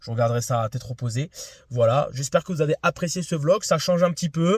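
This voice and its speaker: A man talks at a fairly quick pace with lively intonation in a fairly high, somewhat breathy voice. The recording is very clean and dry, with a silent background and a close sound with no echo. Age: 20s. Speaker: amateur tennis vlogger. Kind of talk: casual vlog debrief. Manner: hesitant, many fillers.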